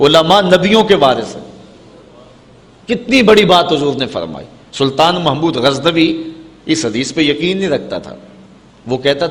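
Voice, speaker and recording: Noticeable background noise behind a man speaking at a high pitch. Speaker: Islamic preacher giving a sermon. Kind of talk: religious sermon (bayan), emotional preaching.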